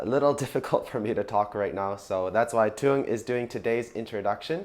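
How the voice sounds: A man puts on a raspy, strained character voice at a medium pitch. He talks at a fairly quick pace.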